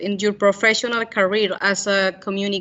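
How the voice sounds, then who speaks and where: In a Spanish accent, a woman talks at a fairly high pitch. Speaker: journalist. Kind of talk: Q&A after a talk. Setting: school event with audience. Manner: halting.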